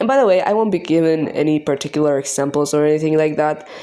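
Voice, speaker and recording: A woman's very deep, low voice with a non-native accent, ordinary pitch variation and a fairly quick pace, over noticeable background noise. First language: not English. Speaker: art youtuber. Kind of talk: scripted rant. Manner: halting.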